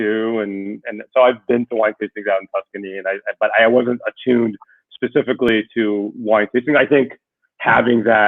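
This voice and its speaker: Spoken with an American accent, the delivery moves at a fairly quick pace. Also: man. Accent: sounds completely American. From Israel. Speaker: winery board member. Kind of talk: interview.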